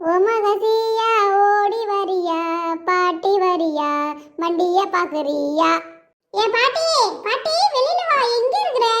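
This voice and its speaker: Squeaky and extremely high-pitched, this cartoonish character voice moves at a very slow pace. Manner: excited.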